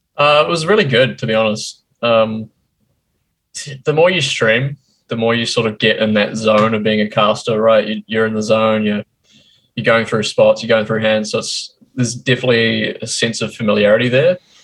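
Speaking at a moderate pace, a man with a New Zealand accent keeps a medium pitch and ordinary pitch variation. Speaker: poker streamer. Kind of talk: interview.

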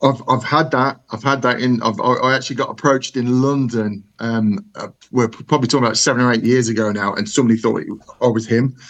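With a Brummie accent, a man speaks at a fairly quick pace and with fairly even intonation. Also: medium pitch for a man. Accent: Brummy (Birmingham English). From Birmingham, England. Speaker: listener, superfan. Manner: nervous.

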